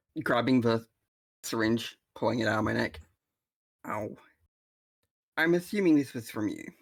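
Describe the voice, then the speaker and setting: A man puts on a raspy character voice at a medium pitch. He moves at a moderate pace, broken by long, frequent pauses. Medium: actual play. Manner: flippant.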